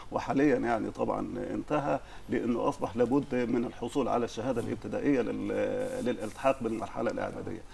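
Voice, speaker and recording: There is light background noise as a man speaks at a fairly quick pace. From Upper Egypt. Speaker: judge and poet. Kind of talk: interview. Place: studio. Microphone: lapel.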